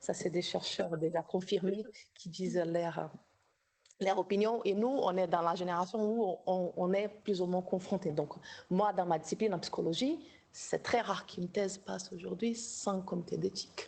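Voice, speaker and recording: A woman's dark, mellow tone at medium pitch, moderate in pace, with fairly even intonation and a quiet background. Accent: slight Brazilian. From Brazil. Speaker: doctoral researcher in psychology, workshop co-organizer. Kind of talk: academic workshop discussion. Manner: halting, many repetitions.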